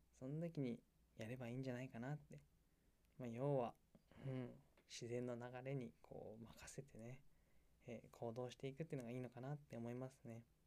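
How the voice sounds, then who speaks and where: A man's dark, mellow voice at medium pitch, a fairly quick pace broken by long, frequent pauses. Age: 20s. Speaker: solo podcaster, hobby baker. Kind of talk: casual solo talk. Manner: animated, frequent laughter.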